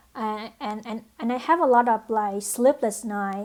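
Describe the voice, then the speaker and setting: A woman's fairly high voice with a non-native accent and fairly even intonation, on a very clean recording with a silent background. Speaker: nursing program applicant. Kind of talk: application video monologue. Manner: halting, many fillers.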